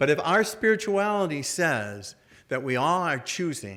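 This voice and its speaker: Someone with an American accent speaks with very wide pitch swings. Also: man. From US Midwest, Detroit. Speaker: Jesuit priest, order treasurer. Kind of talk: talk with audience Q&A. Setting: luncheon event, stage with audience. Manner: casual, halting with repetitions.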